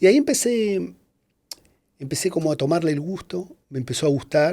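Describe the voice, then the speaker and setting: This man speaks at a fairly quick pace with a high pitch and a dark, mellow tone. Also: lively intonation. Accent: Argentine. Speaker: advertising music composer. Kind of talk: interview answer.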